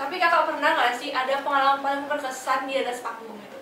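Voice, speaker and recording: A woman speaks at a very fast pace in a raised, projected voice. Her pitch is high, with noticeable background noise. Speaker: podcast host. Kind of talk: casual podcast hosting. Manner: upbeat.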